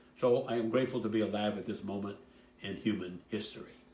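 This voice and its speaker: A man with a dark, mellow tone and a fairly low pitch talks at a very fast pace with ordinary pitch variation, and audible room echo is present. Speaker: church member. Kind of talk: recorded personal message.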